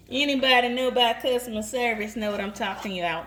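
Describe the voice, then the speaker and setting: Over noticeable background noise, a woman with a Southern US accent speaks in a high-pitched, playful tone with lively intonation. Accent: Southern, country. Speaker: home cook filming for an audience. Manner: chatty, playful.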